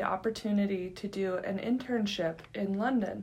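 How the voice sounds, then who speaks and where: Here is a woman with an American accent and an unremarkable speaking voice. She talks at a moderate pace with a medium pitch and fairly even intonation. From US West, California. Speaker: college podcast host. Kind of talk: interview.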